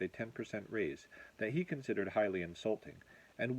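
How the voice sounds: The voice is a natural reading voice.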